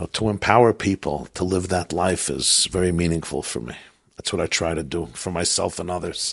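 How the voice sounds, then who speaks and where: With an American accent, a man speaks at a very deep, low pitch with vocal fry and ordinary pitch variation. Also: fairly quick pace. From US Northeast, Brooklyn. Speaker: rabbi. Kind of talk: interview. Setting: at his home.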